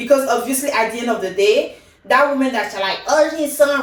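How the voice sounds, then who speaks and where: A woman talks in a high voice with ordinary pitch variation and an animated tone. The recording has noticeable background noise and audible room echo. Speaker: K-drama reviewer, YouTuber. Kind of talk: casual review monologue.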